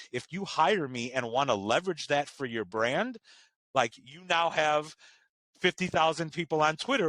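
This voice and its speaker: Loud and fairly high-pitched, a man speaks at a moderate pace with lively intonation and a bright, sharp tone, the sound dry and close with no echo. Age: 30s. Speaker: chef and content creator. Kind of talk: interview.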